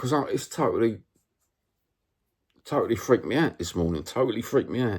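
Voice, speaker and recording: With a Cockney accent, a man at a medium pitch speaks very fast in an animated tone, with vocal fry and long, frequent pauses. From London (East End, Cockney). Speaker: football vlogger. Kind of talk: casual monologue vlog. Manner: animated, repetitive.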